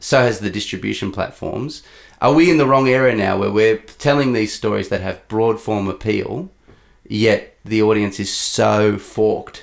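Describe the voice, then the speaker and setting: Fairly low in pitch, a man with an unremarkable speaking voice talks at a moderate pace with ordinary pitch variation. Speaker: interviewer, channel host. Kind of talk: interview question.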